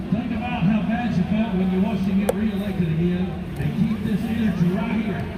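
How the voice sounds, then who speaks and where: Fairly quick and high-pitched, a man speaks at a very even loudness. Audible room echo and noticeable background noise fill the recording. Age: 40s. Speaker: protest speaker. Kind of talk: speech. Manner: animated.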